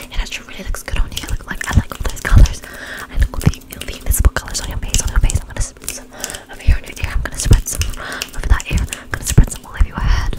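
A woman whispers at a very fast pace. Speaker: ASMR creator. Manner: soft close-mic ASMR voice. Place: home room. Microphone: studio mic.

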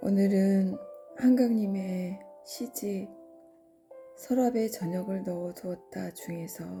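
Music plays in the background while the speaker goes at a very slow pace. Long, frequent pauses break up speech with ordinary pitch variation. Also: woman, medium pitch for a woman. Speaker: poetry reader. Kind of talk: poetry reading.

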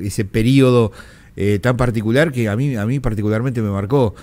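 His pitch rises and falls in an ordinary way as the man speaks. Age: 50s. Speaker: radio host. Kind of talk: radio interview. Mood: reflective, emotional memory. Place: studio. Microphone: studio mic.

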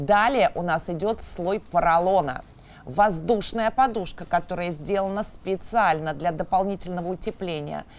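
At a moderate pace and with few pauses, a woman talks at a fairly low pitch with ordinary pitch variation.

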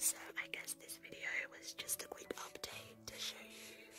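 Someone is whispering while music plays in the background. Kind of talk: ASMR gaming commentary. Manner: whispered.

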